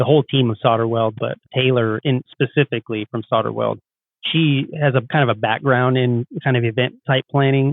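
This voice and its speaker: Fairly even in intonation and medium in pitch, a man with an ordinary speaking voice keeps a moderate pace. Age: 40s. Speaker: HVAC contractor and business owner. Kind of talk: podcast interview. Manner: casual, conversational.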